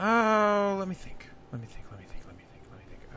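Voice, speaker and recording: Over clear background noise, a man does a put-on character voice at a high pitch and a fairly quick pace. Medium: actual play. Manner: excitable, playful.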